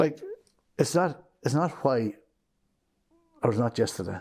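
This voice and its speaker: In a West Cork accent, a man talks at a moderate pace, his dark, mellow tone paired with lively intonation. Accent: West Cork Irish. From Ireland, West Cork. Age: 60s. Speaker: business owner. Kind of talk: interview.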